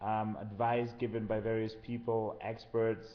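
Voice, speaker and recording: In a room with audible echo, a man talks at a medium pitch with monotone, flat intonation. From Germany, Kenya and Switzerland. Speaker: social entrepreneur. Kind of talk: interview.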